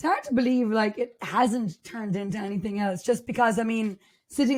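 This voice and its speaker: A woman's fairly high, somewhat breathy voice, animated in tone, with ordinary pitch variation and a moderate pace. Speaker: podcast co-host, hairdresser. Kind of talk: casual chat.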